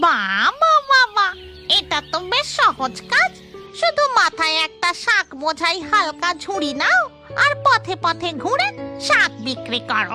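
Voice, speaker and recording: A woman uses a cartoonish character voice at an extremely high pitch and a fairly slow pace. Loud music plays in the background. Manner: naive, whiny.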